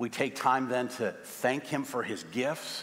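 A plain, everyday voice from a man with an American accent, medium pitch, and ordinary pitch variation. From US Midwest, St. Louis; US Midwest. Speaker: pastor. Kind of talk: sermon. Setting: church. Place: church.

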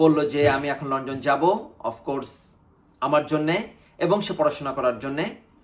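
Music plays in the background. A man speaks with a fairly high pitch and fairly even intonation. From Bangladesh. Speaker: YouTuber. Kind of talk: personal storytelling vlog.

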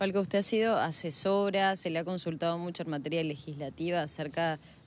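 A woman's fairly low voice, fairly even in intonation, at a moderate pace. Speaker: TV field reporter. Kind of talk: interview. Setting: outdoors.

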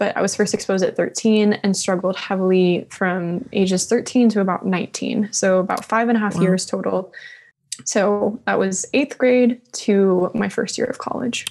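At a moderate pace, a woman talks at a medium pitch with fairly even intonation. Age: young. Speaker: support group leader. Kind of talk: personal testimony. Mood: calm, reflective, personal. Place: studio. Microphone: studio mic.

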